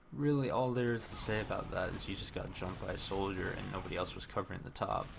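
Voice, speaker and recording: At a very fast pace, a man with a medium pitch and ordinary pitch variation talks amid noticeable background noise and audible room echo. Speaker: game coach reviewing demos. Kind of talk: live-streamed demo commentary. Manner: casual, conversational.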